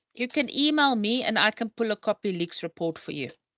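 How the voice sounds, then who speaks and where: Against a quiet background, a raised, projected voice rings out with a bright, sharp tone. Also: woman. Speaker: academic administrator hosting student session. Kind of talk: online Q&A session. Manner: fast.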